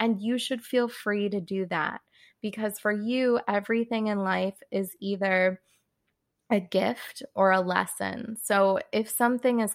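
Woman with a plain, everyday voice, medium pitch, fairly even intonation, and a fairly slow pace, in a very clean recording with a silent background. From California. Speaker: human design reader and artist. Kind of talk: interview, explanatory chat.

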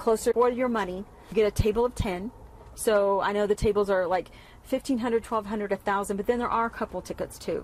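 A Texan accent at a fairly quick pace, with fairly even intonation. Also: woman, medium pitch for a woman. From East Texas. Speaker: former dance studio owner. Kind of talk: casual interview. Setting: riding in a vehicle.

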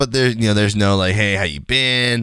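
Here is a man with an unremarkable speaking voice and a fairly low pitch. He speaks at a moderate pace on a very clean recording with a silent background. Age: 20s. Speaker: gaming streamer and podcast host. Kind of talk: casual solo podcast monologue.

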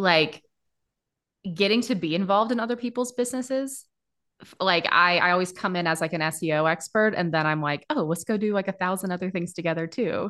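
A woman in an ordinary speaking voice, medium in pitch with ordinary pitch variation, at a fairly quick pace against a quiet background. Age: 30s. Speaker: SEO agency founder. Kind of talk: interview. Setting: video call.

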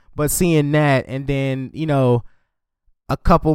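In a normal speaking voice, a man talks at a medium pitch and moderate pace with fairly even intonation, recorded very cleanly over a silent background. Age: 30s. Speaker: podcast host. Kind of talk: casual chat.

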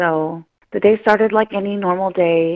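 Using fairly even intonation, a woman with an American accent has an unremarkable speaking voice at medium pitch. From Northern California, Mendocino Coast. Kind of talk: interview testimony.

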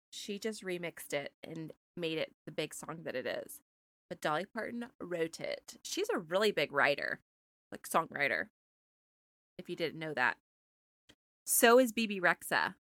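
At a moderate pace, a woman with a fairly low pitch and bright, sharp tone uses lively intonation broken by long, frequent pauses. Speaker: podcast co-host. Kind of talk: casual chat.

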